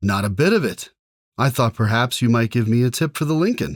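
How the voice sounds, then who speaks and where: A man's put-on character voice at medium pitch, fairly quick, with lively intonation and very even loudness. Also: very clean recording, silent background. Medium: read story. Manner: hearty, bantering.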